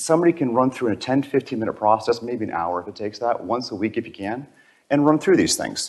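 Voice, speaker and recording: A man's very fast speech with lively intonation. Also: quiet background. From US Northeast, Connecticut. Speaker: conference presenter. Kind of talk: technical presentation. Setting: stage with audience.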